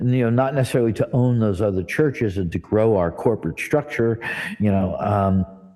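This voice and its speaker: A man talks at a very even loudness. Noticeable background noise sits behind him. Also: medium pitch for a man, ordinary pitch variation, fairly quick pace. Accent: American. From New Jersey, US. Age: 60s. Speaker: church director and spiritual teacher. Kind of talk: interview conversation. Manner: casual, conversational with fillers.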